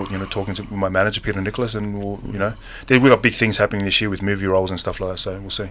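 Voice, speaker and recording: A man speaks at a very fast pace in monotone, flat intonation. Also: fairly low pitch for a man, big swings in loudness. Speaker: professional mixed martial arts fighter. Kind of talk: radio interview. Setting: radio studio. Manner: laid back, casual; halting, many fillers and repeats.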